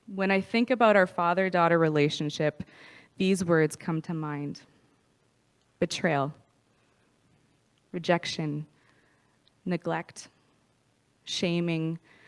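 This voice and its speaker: Speaking very slowly with long, frequent pauses, a woman with a Prairie accent has a fairly low pitch, captured in a dry, close sound with no echo on a very clean recording with a silent background. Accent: Canadian English, prairies. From Canada, Saskatoon, Saskatchewan. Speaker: recovery speaker. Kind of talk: testimony.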